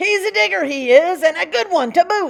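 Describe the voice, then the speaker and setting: Woman bellowing in a put-on character voice, raised and projected, at an extremely high pitch. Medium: read story. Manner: bellowing, piratey slang.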